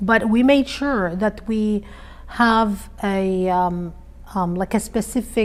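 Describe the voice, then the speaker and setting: A woman with an Arabic accent speaks very slowly at a medium pitch, keeping her intonation fairly even. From Iraq. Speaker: interviewee, immigrant mother. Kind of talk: interview conversation. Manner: hesitant, many fillers.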